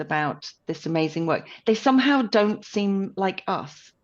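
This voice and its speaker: Over a quiet background, a woman speaks at medium pitch with lively intonation. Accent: British. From United Kingdom. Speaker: podcast co-host. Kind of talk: casual chat.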